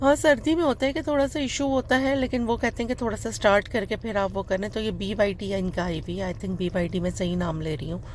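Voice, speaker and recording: Over noticeable background noise, a woman speaks fairly quickly at medium pitch with lively intonation. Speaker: vlogger. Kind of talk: casual vlog voice-over. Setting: voice-over recorded later. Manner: fumbling words.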